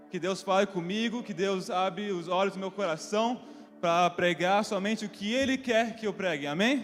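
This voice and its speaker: A man's high voice moves at a moderate tempo, its pitch varying in an ordinary way. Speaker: preacher. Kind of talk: sermon. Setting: church.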